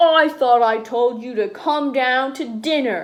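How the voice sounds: A woman puts on a growling character voice at a high pitch, speaking at a fairly slow pace.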